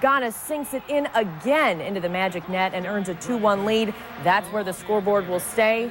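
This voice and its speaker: At a moderate pace, a woman talks in a medium pitch with ordinary pitch variation over noticeable background noise. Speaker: news anchor / reporter. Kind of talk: sports news segment.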